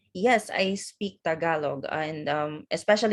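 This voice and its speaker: Spoken with a Visayan Filipino accent, the voice has ordinary pitch variation over a quiet background. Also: woman. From Philippines, Visayas (Hiligaynon-speaking island). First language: Hiligaynon. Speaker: office worker and event host. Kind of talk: casual conversation interview. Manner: hesitant, many fillers.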